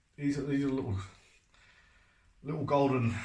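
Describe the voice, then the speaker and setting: A man speaks at a moderate pace with a somewhat breathy voice. Room echo is audible. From North East London, England. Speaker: painter and decorator. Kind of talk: tutorial. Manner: casual, chatty.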